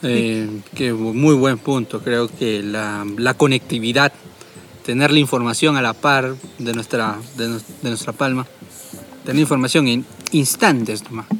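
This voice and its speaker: Music plays in the background while a man talks. His pace is fairly slow and his intonation fairly even. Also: medium pitch for a man. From Peru, Tarapoto. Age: young. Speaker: podcast host. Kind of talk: casual chat.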